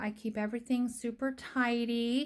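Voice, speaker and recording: A woman talks at a fairly slow pace with a high pitch and monotone, flat intonation. The recording is very clean, with a silent background. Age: 60s. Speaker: family caregiver. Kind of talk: casual vlog narration.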